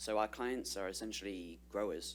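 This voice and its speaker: A man with a British accent speaks with a very deep, low pitch and vocal fry. His pitch swings very widely. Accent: non-Californian British. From United Kingdom. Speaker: trade policy specialist. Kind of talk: presentation to an advisory board. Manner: many filler words (uh, um).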